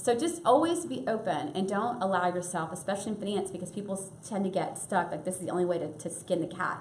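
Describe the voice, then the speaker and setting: A woman talks at a very fast pace with hardly any pauses, her pitch medium. Noticeable background noise and audible room echo surround her. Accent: American. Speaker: startup finance speaker. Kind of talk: lecture.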